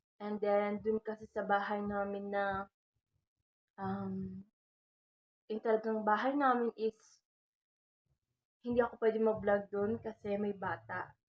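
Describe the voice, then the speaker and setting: A soft-spoken woman at medium pitch, monotone and flat, at a fairly slow pace with long, frequent pauses. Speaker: vlogger. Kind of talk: casual vlog talk. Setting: at home at night. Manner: halting.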